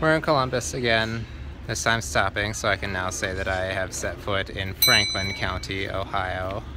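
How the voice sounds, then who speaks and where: The speech moves at a moderate pace, with loud background noise. The sound is dry, with no echo. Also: man. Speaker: truck driver vlogger. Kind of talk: casual vlog chat. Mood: calm, reflective, grateful. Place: station. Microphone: phone near.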